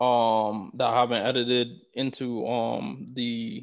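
A man with a New York accent speaks at a medium pitch. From New York City. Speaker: podcast co-host. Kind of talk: casual chat. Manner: halting, many fillers.

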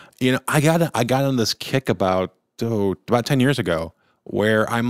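Recorded dry and close with no echo, a man with an ordinary speaking voice talks at a moderate pace and medium pitch with lively intonation. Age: middle-aged. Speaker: podcast co-host. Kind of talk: casual chat.

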